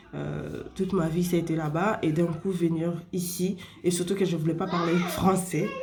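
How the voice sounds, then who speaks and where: A woman speaks at a fairly low pitch and a fairly slow pace, in a monotone with flat intonation. Noticeable background noise and audible room echo are present. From Spain. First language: Spanish (speaking French). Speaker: vlogger. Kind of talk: casual advice talk to camera. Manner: halting, many fillers.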